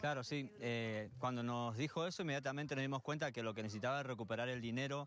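A man speaks at a very fast pace with ordinary pitch variation and very even loudness. The sound is dry, with no echo. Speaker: youth football coach. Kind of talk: interview answer. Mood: warm, pleased. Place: open country. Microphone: handheld.

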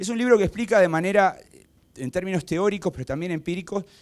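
A man with a high pitch races along at a very fast pace, his intonation lively. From Uruguay. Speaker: political science professor. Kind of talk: lecture. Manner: halting, many fillers. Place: hall. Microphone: handheld.

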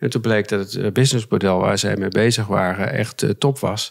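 A man speaks at a fairly low pitch and a moderate pace, with fairly even intonation. The background is quiet. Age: 50s. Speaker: mediator; podcast guest. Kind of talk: interview. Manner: halting. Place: studio. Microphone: studio mic.

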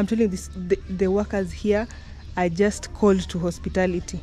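Spoken at a moderate pace, the voice comes over light background noise. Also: woman. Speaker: travel vlogger. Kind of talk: casual vlog chat. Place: garden. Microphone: phone near.

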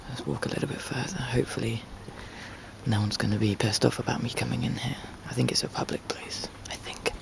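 A man's very fast whispering. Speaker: traveler. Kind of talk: casual travel vlog narration. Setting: outdoors. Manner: whispered. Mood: calm, appreciative. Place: garden. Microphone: phone near.

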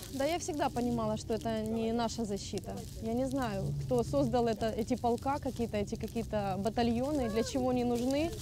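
Speaking at a fairly quick pace, a woman keeps her loudness very even. The sound is dry with no echo, but noticeable background noise is present. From Mariupol, Ukraine; Ukraine. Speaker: refugee, former job centre employee. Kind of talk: emotional testimony; interview answer. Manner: halting, repeating words. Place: open country.

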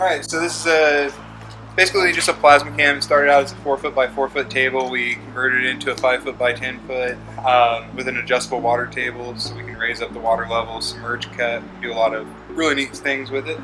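With music in the background, the voice moves at a very fast pace with ordinary pitch variation. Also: man. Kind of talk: interview answer. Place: workshop. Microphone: phone near.

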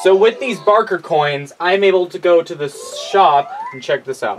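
There is light background noise as a man speaks at a moderate pace. His voice is high and swings very widely in pitch. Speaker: gamer. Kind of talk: casual gameplay commentary. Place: home room.

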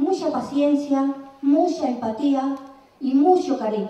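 A woman's high-pitched voice with an Andalusian accent, ordinary pitch variation, audible room echo and noticeable background noise. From Andalusia, El Puerto de Santa María. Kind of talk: conference talk. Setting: stage with audience.

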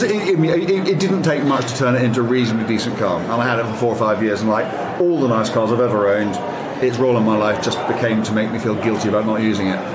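Over noticeable background noise, a man talks very fast at medium pitch with lively intonation. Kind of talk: casual chat.

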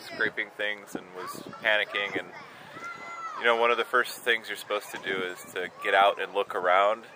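Against noticeable background noise, in a dry sound with no echo, a man talks at a moderate pace with a fairly low pitch. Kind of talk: interview answer. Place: open country.

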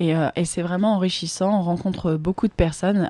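A woman's voice with ordinary pitch variation against noticeable background noise. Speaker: former beauty queen, modelling agency founder. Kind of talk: radio interview. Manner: hesitant, many fillers.

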